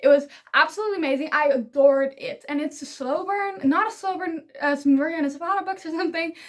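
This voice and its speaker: Extremely high in pitch, a woman with a Dutch accent talks at a very fast pace with ordinary pitch variation and hardly any pauses. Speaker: book YouTuber. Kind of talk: casual vlog talk to camera. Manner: animated.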